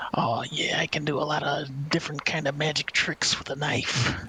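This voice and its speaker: Clear background noise sits behind the speaker. The put-on character voice has a low-to-middle pitch. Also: moderate pace. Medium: actual play.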